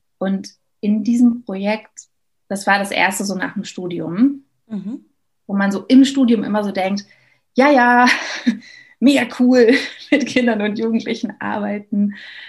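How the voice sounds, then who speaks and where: A woman speaks fairly slowly at a fairly high pitch, somewhat breathy and with fairly even intonation. She leaves long, frequent pauses. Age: 30s. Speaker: educator. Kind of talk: interview.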